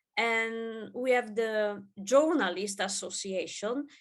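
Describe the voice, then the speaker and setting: Over a quiet background, a woman speaks with an Italian accent. Her pitch is fairly high. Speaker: gender researcher. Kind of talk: conference presentation. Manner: halting, many fillers.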